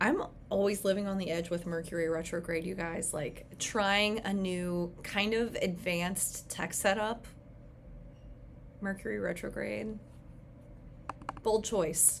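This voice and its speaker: A woman speaks at a fairly slow pace with fairly even intonation and long, frequent pauses. Room echo is audible. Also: medium pitch for a woman. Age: 30s. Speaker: astrologer. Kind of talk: live stream talk. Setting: livestream. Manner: casual, filler-heavy.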